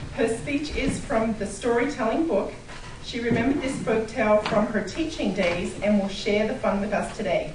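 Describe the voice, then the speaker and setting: Noticeable background noise sits behind a woman with a fairly high pitch. She talks at a moderate pace with ordinary pitch variation. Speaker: club meeting introducer. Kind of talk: speech introduction.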